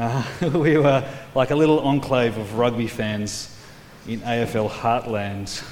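A man with an Australian accent speaks at a medium pitch and a very slow pace. There is audible room echo and noticeable background noise. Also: ordinary pitch variation. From Australia, New South Wales. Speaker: preacher. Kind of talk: sermon.

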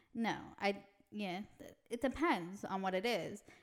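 Loud and medium-pitched, a woman speaks. Her pitch variation is ordinary. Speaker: podcast co-host. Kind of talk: casual chat.

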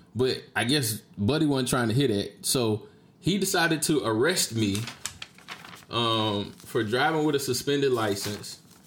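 A man with an American accent, medium pitch and lively intonation at a fairly slow pace, very even in loudness, over noticeable background noise. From Jacksonville, Florida (Duval County). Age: 30s. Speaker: podcast host. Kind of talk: casual solo monologue, storytelling. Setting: streamed live on Facebook video.

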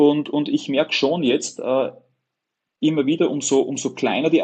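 With an Upper Austrian accent, a man speaks at a moderate pace in a fairly high pitch with ordinary pitch variation. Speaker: web agency owner. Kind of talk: interview conversation.

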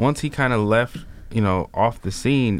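A man with an American accent has an ordinary speaking voice. He speaks at a fairly slow pace with ordinary pitch variation. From Chicago. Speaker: political commentator. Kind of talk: casual chat.

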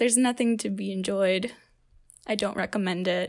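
This is a woman speaking. The recording is very clean, with a silent background. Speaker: student assistant opinion editor.

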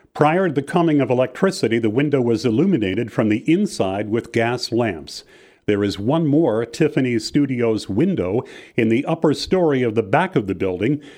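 Over a quiet background, a man talks at a moderate pace and medium pitch in a dark, mellow tone, with lively intonation and very even loudness. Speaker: walking tour guide. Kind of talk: scripted walking-tour narration, read aloud. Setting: studio recording. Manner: measured, formal, even-paced; reads out building names and dates like a catalogue.

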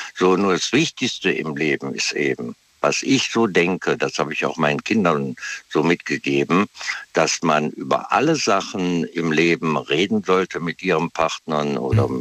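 A man's very deep, low voice at a moderate pace, with ordinary pitch variation and a dry, close sound with no echo, plus noticeable background noise. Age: 60s. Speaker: caller. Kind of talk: casual chat. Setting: phone call.

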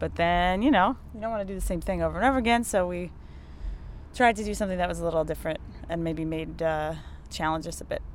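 A woman speaks quietly and very fast at a fairly low pitch. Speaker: band member. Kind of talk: casual interview chat. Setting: tour van. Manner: quieter, laid-back.

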